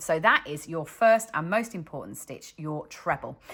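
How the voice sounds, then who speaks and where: A woman with a British accent speaks at a fairly slow pace in a very deep, low pitch. Her tone is bright and sharp, with lively intonation. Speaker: crochet designer and teacher. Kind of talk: tutorial. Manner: slow, step-by-step.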